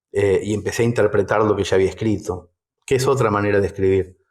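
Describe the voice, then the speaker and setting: Spoken in a Rioplatense accent, the clip is a very clean recording with a silent background. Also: man. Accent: Argentine Rioplatense Spanish. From Mercedes, Buenos Aires, Argentina. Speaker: writer and storyteller. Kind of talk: interview answer.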